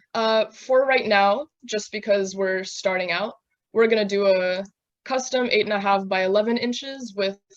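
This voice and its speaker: A woman talks at a fairly slow pace with a fairly high pitch. She has a normal speaking voice and ordinary pitch variation. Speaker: software instructor. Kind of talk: tutorial.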